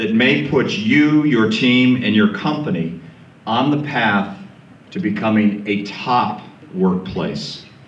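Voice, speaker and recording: A loud man at a medium pitch with very wide pitch swings and a very slow pace, with audible room echo and noticeable background noise. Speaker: panel moderator. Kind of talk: speech to a live audience.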